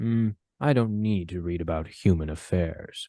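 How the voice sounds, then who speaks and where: A man's put-on character voice, very deep and low in pitch, at a moderate pace over a quiet background. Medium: actual play. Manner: calm, formal.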